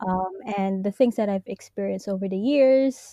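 Over a quiet background, a woman speaks at a fairly slow pace with a medium pitch and a dark, mellow tone, the sound dry and close with no echo. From Hong Kong, Filipino family. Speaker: journalist. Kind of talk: interview.

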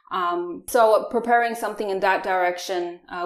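A woman speaks at a fairly quick pace with fairly even intonation, and noticeable background noise can be heard. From Taiwan. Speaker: management consultant. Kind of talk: interview.

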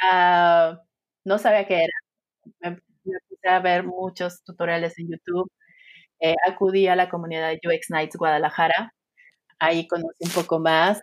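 At a fairly slow pace, a woman with a fairly low pitch speaks in a monotone with flat intonation, the sound dry and close with no echo. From Sinaloa, Mexico. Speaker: UX designer. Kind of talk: interview.

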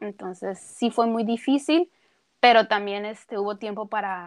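A woman with an ordinary speaking voice talks at a fairly slow pace, her pitch fairly high with ordinary pitch variation, against a quiet background. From Tijuana, northern Mexico. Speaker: cook and nutritionist. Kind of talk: casual interview.

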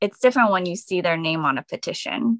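A woman with an American accent has an unremarkable speaking voice at a medium pitch. The recording is very clean, dry and close, with a silent background and no echo. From New Jersey (Edison). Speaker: doctoral student and activist. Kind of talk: radio interview.

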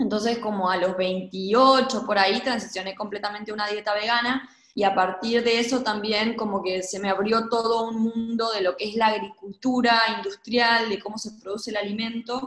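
Over noticeable background noise, a woman with a fairly high pitch talks at a moderate pace in a monotone, flat intonation, with hardly any pauses. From Argentina, Gualeguaychú (Entre Ríos). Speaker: urban agriculture project co-founder. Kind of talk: interview conversation.

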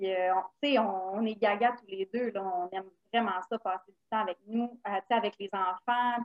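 A woman speaks in a Quebec accent at a fairly slow pace. Her intonation stays fairly even. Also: medium pitch for a woman. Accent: Québécois French. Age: 30s. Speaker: stay-at-home mother of four. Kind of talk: casual chat.

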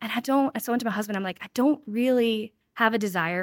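A woman talks at a fairly quick pace with ordinary pitch variation. The sound is dry and close, with no echo. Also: very clean recording, silent background. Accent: American. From North Carolina, Winston-Salem. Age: 30s. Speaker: mobile thrift store owner. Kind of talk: casual interview chat. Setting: in-person at a house.

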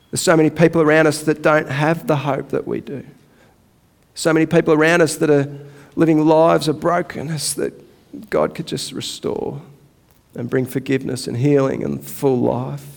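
With an Australian accent and vocal fry, a man talks at a moderate pace and a fairly high pitch with fairly even intonation. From Australia, Melbourne area. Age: 40s. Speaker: pastor. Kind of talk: sermon. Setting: church.

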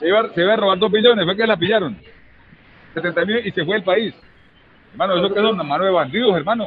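A man's high-pitched voice at a very fast pace, broken by long, frequent pauses, with ordinary pitch variation. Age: 50s. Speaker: trade union leader. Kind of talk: interview. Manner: animated.

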